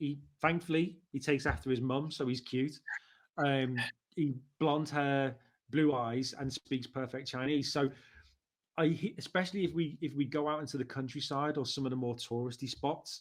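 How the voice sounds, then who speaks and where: This man has a Liverpool accent and a fairly high pitch. He keeps a moderate pace and fairly even intonation. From Liverpool, England. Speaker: marketing director. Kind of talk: interview conversation. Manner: conversational, with hesitations.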